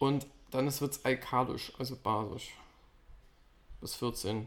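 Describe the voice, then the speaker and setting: The recording is very clean, with a silent background. A man speaks at medium pitch and a very slow pace. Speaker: podcast co-host. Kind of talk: casual chat. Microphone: sits farther from the mic, quieter.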